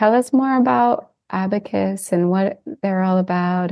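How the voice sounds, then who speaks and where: A woman of medium pitch talks at a fairly slow pace. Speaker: podcast host. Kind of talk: podcast interview.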